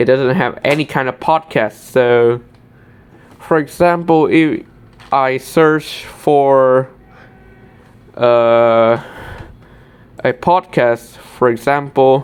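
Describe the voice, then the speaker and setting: In a Vietnamese accent, the speech moves at a very slow pace with long, frequent pauses. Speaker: tech YouTuber. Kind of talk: screen-recorded tutorial walkthrough. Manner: halting, with self-corrections.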